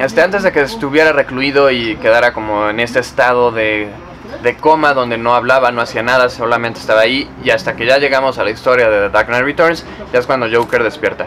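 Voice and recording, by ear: A man talks at a fairly quick pace in a medium pitch. His tone is fairly bright, with faint background noise.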